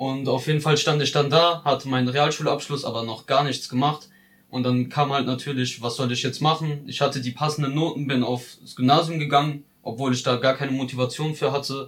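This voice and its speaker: Somewhat breathy, a man with a fairly high pitch speaks at a fairly quick pace in a monotone, flat intonation. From Ludwigshafen, Palatinate, Germany. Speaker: vocational trainee. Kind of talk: personal narrative.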